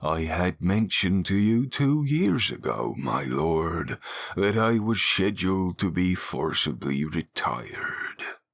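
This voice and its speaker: A man's put-on character voice, very deep and low, fairly slow, with very wide pitch swings. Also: very even loudness. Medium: read story. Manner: humble, deferential.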